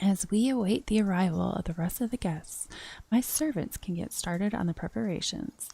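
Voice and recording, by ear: The words are read out in a natural voice.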